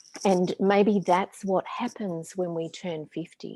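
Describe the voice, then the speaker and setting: In an Australian accent, a woman speaks at a medium pitch and fairly slow pace, her dark, mellow tone varying in pitch in an ordinary way, with a dry, close sound and no echo. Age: 50s. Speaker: spiritual teacher and author. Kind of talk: casual chat.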